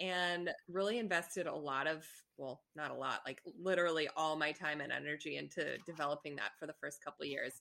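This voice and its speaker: A woman's very deep, low pitch with vocal fry and a bright, sharp tone, at a fairly quick pace with fairly even intonation. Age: 30s. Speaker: entrepreneur and gallery owner. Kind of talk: casual interview.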